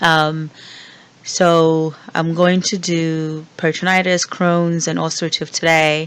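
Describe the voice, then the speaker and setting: The speaker talks at a very slow pace. Noticeable background noise runs underneath. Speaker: nursing or medical professor. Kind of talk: recorded lecture. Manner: casual, with many fillers.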